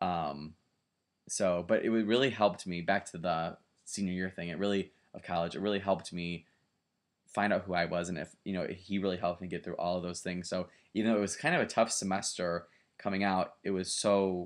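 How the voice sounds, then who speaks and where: With an American accent and a very deep, low pitch, a man talks at a fairly quick pace with fairly even intonation on a very clean recording with a silent background. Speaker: graduate student. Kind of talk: video presentation for a class. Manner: fast; casual, hesitant with fillers.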